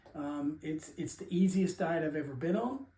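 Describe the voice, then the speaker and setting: Through noticeable background noise, a man speaks at a fairly high pitch with lively intonation. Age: 60s. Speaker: diet vlogger. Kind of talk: casual talk to camera. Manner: halting, many fillers.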